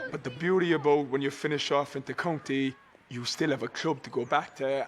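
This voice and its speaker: With an Irish accent, a man speaks fairly quickly in a fairly high voice and fairly even intonation. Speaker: former hurler. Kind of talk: interview.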